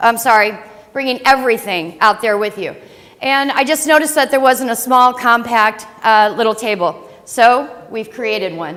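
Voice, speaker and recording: Speaking loudly at a moderate pace, a woman with an American accent uses lively intonation in a high pitch. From St. Louis, Missouri, US Midwest. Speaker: startup founder. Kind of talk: business pitch presentation.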